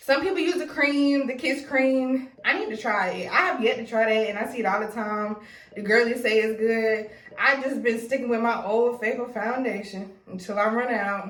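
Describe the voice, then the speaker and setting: Noticeable background noise and audible room echo surround a woman with a fairly high pitch and ordinary pitch variation. She talks at a fairly quick pace in an animated tone. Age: 20s. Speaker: beauty YouTuber. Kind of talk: tutorial. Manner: fast; casual, animated.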